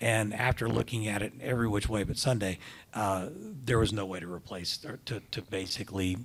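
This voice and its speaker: A man speaks at a fairly quick pace with ordinary pitch variation in a normal speaking voice. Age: 60s. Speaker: hospital system CEO. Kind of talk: interview on stage.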